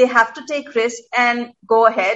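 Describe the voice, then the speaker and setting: A woman's high-pitched voice moves at a moderate pace. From India, Mumbai. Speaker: restaurant co-owner. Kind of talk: interview.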